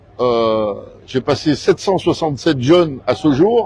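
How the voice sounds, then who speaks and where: Noticeable background noise sits under the speech. The speaker is a man. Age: 70s. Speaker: car club leader and youth mechanics mentor. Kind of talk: casual interview. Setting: exhibition fair.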